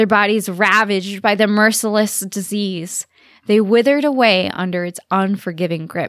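A normal speaking voice comes through with a dry, close sound and no echo. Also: woman. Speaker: podcast host. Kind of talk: scripted dramatic narration of a historical story, read aloud. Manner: theatrical, ominous, measured and vivid.

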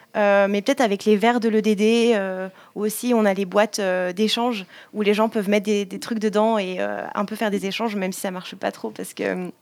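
A woman talks at a fairly quick pace yet leaves long, frequent pauses, her intonation monotone and flat, on a very clean recording with a silent background. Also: medium pitch for a woman. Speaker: student activist. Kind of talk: interview. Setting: rooftop outdoors.

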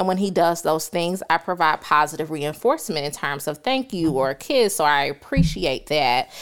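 With a Southern US accent, a woman speaks in a very deep, low voice at a moderate pace, her intonation lively and hardly any pauses. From US South, rural South Carolina. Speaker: podcast guest, psychology graduate. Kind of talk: casual interview chat. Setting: filmed in studio.

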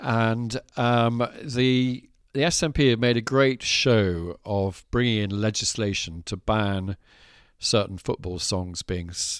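Very slowly and with ordinary pitch variation, a man with an English accent speaks at a fairly low pitch in a very clean recording with a silent background. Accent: posh English-sounding. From Scotland. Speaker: landowner, farmer and author. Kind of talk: casual chat. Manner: halting.

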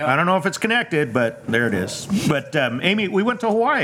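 With noticeable background noise, a man speaks very fast, his pitch swinging very widely. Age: 50s. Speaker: vineyard owner. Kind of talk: casual chat. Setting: outdoors.

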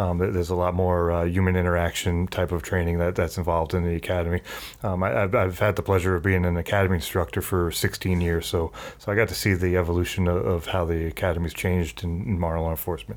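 With an American accent, a man talks at a very fast pace in a very deep, low pitch, his intonation fairly even. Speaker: police chief. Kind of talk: casual interview.

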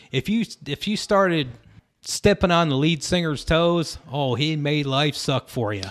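A man with an American accent speaks in a plain, everyday voice, pitched fairly high, with lively intonation. The sound is dry and close, with no echo. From Syracuse, New York. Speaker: pedal steel guitarist. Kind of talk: casual chat. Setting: rehearsal studio.

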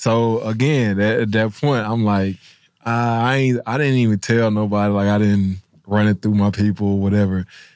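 A man with an ordinary speaking voice talks at a moderate pace with very even loudness. The recording is very clean, with a silent background. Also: fairly low pitch for a man, fairly even intonation. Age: 30s. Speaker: former pro football player, podcast co-host. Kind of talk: casual interview.

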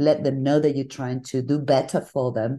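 With a Spanish accent, a woman speaks at a moderate pace in a very deep, low pitch and a dark, mellow tone. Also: quiet background. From northern Spain (Bilbao). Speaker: design agency founder. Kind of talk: interview.

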